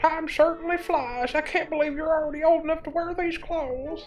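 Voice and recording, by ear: Clear music plays in the background as a put-on character voice speaks at a fairly quick pace. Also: man, extremely high pitch for a man.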